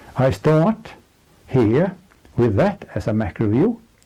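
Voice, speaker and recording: A man speaks at a fairly slow pace in a fairly high pitch, his dark, mellow tone somewhat breathy as his pitch swings very widely. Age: 70s. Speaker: economic analyst. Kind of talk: presentation. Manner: formal.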